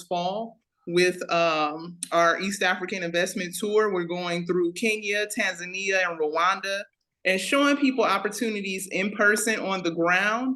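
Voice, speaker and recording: A woman talks at a fairly slow pace with medium pitch. Her tone is bright and sharp, and her pitch variation is ordinary. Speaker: investment tour organizer. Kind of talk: online business meeting presentation. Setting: video call.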